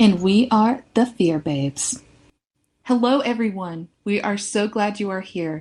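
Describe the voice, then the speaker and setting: Somewhat breathy, this woman's voice sits at a fairly high pitch and has ordinary pitch variation. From US South, near Charlotte, North Carolina. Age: 20s. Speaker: podcast co-host. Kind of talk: scripted intro, then casual chat.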